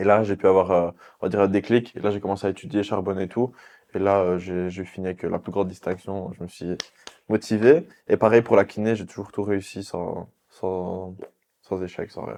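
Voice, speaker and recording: With a dark, mellow tone and fairly low pitch, a man talks at a moderate pace with fairly even intonation and big swings in loudness. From Belgium, Liège (Jupille). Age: 20s. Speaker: physiotherapist and influencer. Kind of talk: casual interview. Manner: hesitant fillers (euh).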